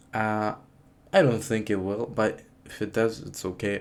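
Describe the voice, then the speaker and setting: A man's fairly low voice with a non-native accent. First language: not English. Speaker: student YouTuber. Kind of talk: casual unscripted vlog talk. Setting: talking to camera. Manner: halting, many fillers and restarts.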